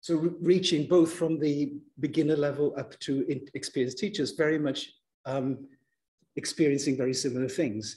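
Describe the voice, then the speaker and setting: At a moderate pace, a man speaks in a fairly high pitch with a dark, mellow tone and a somewhat breathy quality. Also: fairly even intonation. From Germany. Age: 60s. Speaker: university lecturer. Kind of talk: lecture.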